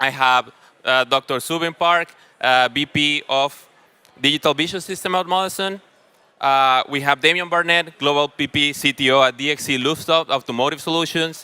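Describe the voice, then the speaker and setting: Loud and bright with a sharp tone, a man with a fairly high pitch talks at a moderate pace with fairly even intonation, in a dry, close recording with no echo, very clean, with a silent background. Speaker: panel moderator. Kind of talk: panel moderation at a conference. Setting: stage with audience.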